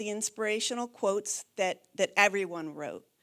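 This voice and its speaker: On a very clean recording with a silent background, a woman talks at a moderate pace in a fairly high pitch with ordinary pitch variation. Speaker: keynote speaker, mental health official. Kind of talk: keynote speech. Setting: stage with audience, microphone. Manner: soft-spoken.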